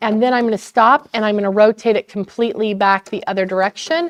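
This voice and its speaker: A woman uses a normal speaking voice with a fairly high pitch and ordinary pitch variation, in a dry, close sound with no echo. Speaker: sewing store instructor. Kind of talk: tutorial. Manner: casual.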